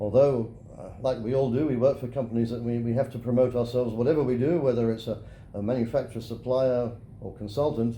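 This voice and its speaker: With a British accent, a man of medium pitch talks at a very fast pace with fairly even intonation, and audible room echo can be heard. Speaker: geosynthetics engineer. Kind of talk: interview. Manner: halting.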